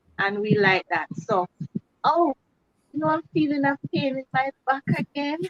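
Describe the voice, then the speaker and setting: A woman speaks in a Jamaican accent, high in pitch with very wide pitch swings. Her fairly slow delivery has long, frequent pauses, and the sound is dry and close with no echo. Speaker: cooking channel host. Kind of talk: casual chat. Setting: live video stream.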